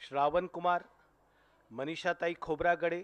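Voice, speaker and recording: The man's voice sits at a high pitch and shows ordinary pitch variation. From Mumbai, Maharashtra. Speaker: journalist, channel editor. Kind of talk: tribute speech.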